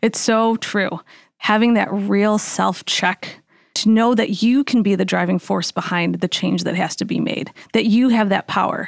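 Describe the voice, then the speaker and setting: With a plain, everyday voice, a woman speaks at a fairly slow pace in an American accent, her medium pitch and fairly even intonation heard in a dry, close sound with no echo. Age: 40s. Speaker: dietitian and health coach. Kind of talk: casual chat.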